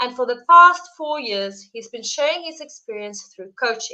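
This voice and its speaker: In a South African accent, the speaker talks at a moderate pace with a bright, sharp tone and ordinary pitch variation. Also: woman. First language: Afrikaans. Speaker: live stream host. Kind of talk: interview introduction. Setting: live stream.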